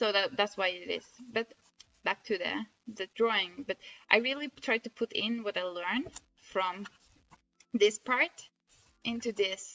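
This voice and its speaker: With a Norwegian accent and a bright, sharp tone, a woman of medium pitch speaks at a fairly slow pace with ordinary pitch variation and long, frequent pauses, in a dry, close sound with no echo. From northern Norway. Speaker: amateur artist, blogger. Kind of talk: casual video diary showing drawings. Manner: halting, frequent self-corrections.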